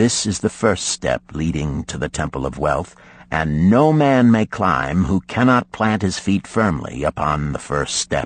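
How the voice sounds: Putting on a character voice, a man talks at a fairly slow pace in an extremely low pitch, with big pitch swings.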